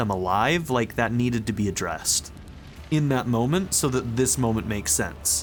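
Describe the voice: The clip consists of plain reading aloud.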